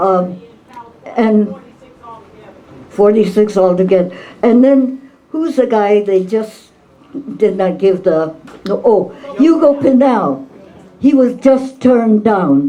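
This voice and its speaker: Over noticeable background noise, a woman with a fairly high pitch and lively intonation speaks at a very slow pace, leaving long, frequent pauses. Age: 80s+. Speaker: activist and author. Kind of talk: talk at book event.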